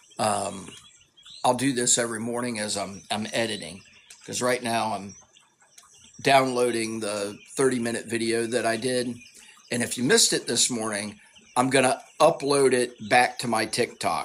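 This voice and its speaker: With a Southern US accent and a medium pitch, a man talks with long, frequent pauses over noticeable background noise. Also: moderate pace. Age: 50s. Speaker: tai chi fitness creator. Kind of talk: casual live Q&A monologue. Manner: halting, repeats words.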